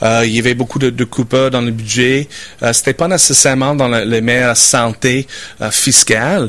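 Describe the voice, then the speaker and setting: Against noticeable background noise, a man with an English accent speaks at a moderate pace and medium pitch, with fairly even intonation and very even loudness. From Saskatchewan, Canada (rural farm). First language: English (speaking French). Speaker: business owner. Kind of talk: interview. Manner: halting, repeats words.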